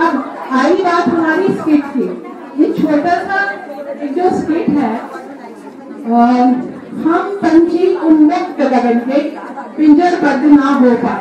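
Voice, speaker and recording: A woman's high-pitched voice at a very slow pace with ordinary pitch variation, amid crowd noise in the background and audible room echo. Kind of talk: public speech at a function. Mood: warm, cheerful. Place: hall.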